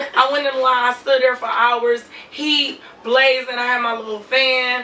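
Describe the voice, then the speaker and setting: A woman speaks at a moderate pace in a high pitch, her intonation flat and monotone, with noticeable background noise behind her. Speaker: reality TV cast member and lash artist. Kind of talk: interview.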